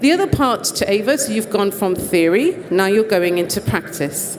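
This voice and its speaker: With a British accent, a woman talks at a fairly quick pace in a medium pitch, using lively intonation amid noticeable background noise. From Britain. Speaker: conference presenter. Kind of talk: presentation talk.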